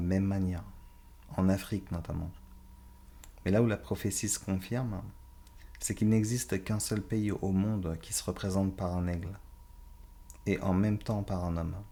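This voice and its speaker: Long, frequent pauses break up a man's moderate pace. His very deep, low voice has a dark, mellow tone and fairly even intonation. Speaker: Bible teacher. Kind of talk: Bible study lecture.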